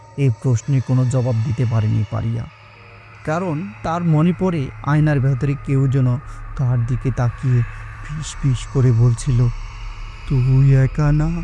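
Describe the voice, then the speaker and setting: Music plays in the background as a man talks at a medium pitch with fairly even intonation. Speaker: voice artist and narrator. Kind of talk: horror audio story narration.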